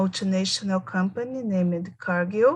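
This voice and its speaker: A woman speaks at a medium pitch, somewhat breathy. The background is quiet. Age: 40s. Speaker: English student. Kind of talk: self-introduction.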